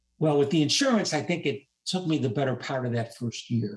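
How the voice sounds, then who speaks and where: A man is speaking. His voice is somewhat breathy. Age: 70s. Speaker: retired rehabilitation counselor and administrator. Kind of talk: interview answer.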